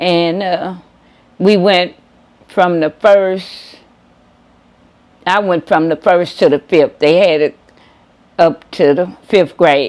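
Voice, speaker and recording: A woman with an American accent speaks at a very slow pace, leaving long, frequent pauses. Her pitch is fairly low and her intonation fairly even. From southern Illinois (Future City, near Cairo). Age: 70s. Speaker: oral history interviewee. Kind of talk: oral history interview. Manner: halting.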